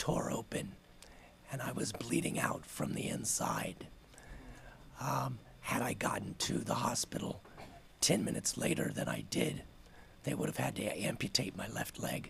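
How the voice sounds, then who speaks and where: A man whispers at a moderate pace, leaving long, frequent pauses. Noticeable background noise and audible room echo are present. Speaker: city council member. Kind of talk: public statement at council meeting. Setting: city council meeting.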